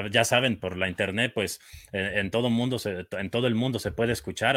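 Using an ordinary speaking voice, a man talks at a moderate pace with medium pitch and ordinary pitch variation. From Mexico, Michoacán. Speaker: play-by-play football announcer. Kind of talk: casual sports talk show.

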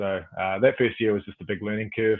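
Speaking at a fairly quick pace, a man with a New Zealand accent keeps a fairly low pitch and a monotone, flat intonation. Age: 20s. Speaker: professional cricketer. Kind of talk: casual chat.

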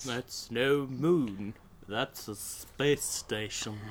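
A man uses a put-on character voice at a medium pitch. He speaks at a very slow pace over clear background noise. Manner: deadpan movie quote.

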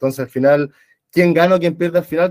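A man speaks fairly quickly at a fairly high pitch with ordinary pitch variation, in a plain, everyday voice. The sound is dry and close, with no echo. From Chile. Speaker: former teacher. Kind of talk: book club discussion. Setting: video call.

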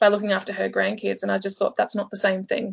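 A woman at a medium pitch speaks with an Australian accent. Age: 20s. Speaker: life coach. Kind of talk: interview storytelling. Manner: animated.

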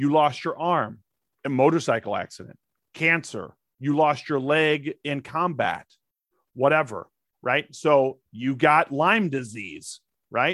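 A man with an American accent, fairly high in pitch, with ordinary pitch variation, a very slow pace and long, frequent pauses, in a dry, close sound with no echo and a very clean recording against a silent background. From St. Louis, Missouri, with Texas summers. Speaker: actor, comedian and Air Force veteran. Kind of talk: casual interview chat.

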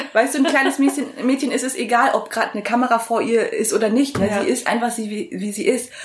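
Over noticeable background noise, a woman with a high pitch and an animated tone races along at a very fast pace with ordinary pitch variation. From Germany, born in Vietnam, arrived at age four. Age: 20s. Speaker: interviewee sharing eating disorder story. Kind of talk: casual interview.

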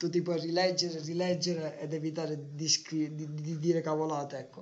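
A man speaks in a flat monotone. His pitch is fairly high. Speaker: podcast co-host. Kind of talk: casual chat. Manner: trying to speak louder.

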